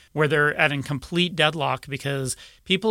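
On a very clean recording with a silent background, a man speaks at a moderate pace in a fairly high, bright, sharp voice with ordinary pitch variation. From Utah. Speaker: advocacy group executive director. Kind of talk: radio interview.

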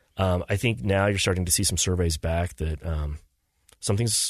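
A man speaks in a very deep, low, somewhat breathy voice at a fairly quick pace. The sound is dry and close with no echo, over a quiet background. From southeastern Idaho. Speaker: government policy advisor. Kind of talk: casual interview.

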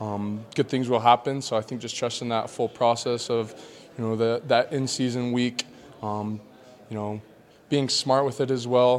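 Noticeable background noise behind a man's medium-pitched voice, fairly even intonation and a moderate pace. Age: 20s. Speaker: college football linebacker. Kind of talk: press conference interview. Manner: halting, many fillers.

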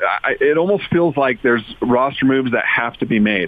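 A man with a normal speaking voice, medium pitch, lively intonation and a moderate pace. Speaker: sports commentator. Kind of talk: casual chat.

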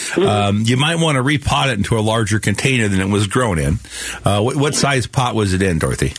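Over noticeable background noise, a man with an American accent talks at a very fast pace with lively intonation. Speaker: radio garden show host. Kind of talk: call-in radio show. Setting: studio. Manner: relaxed, uses many fillers.

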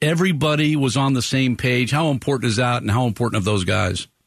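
A man speaks at a fairly quick pace in a medium pitch, using an ordinary speaking voice. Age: 60s. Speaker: radio sports show host. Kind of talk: live radio talk show. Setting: radio studio.

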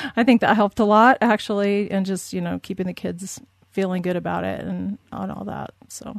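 Against a quiet background, a woman with an American accent speaks at a moderate pace, her loudness swinging widely. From Southern California. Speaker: military spouse. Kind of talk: interview.

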